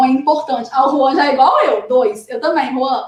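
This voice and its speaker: This woman's voice is high in pitch. Her pitch variation is ordinary. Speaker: exam study coach. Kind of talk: live stream tips talk. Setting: live stream. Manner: animated.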